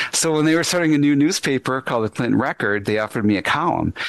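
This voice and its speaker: The speaker has an American accent and lively intonation. Background noise is noticeable. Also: man. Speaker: radio host and journalist. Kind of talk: interview conversation.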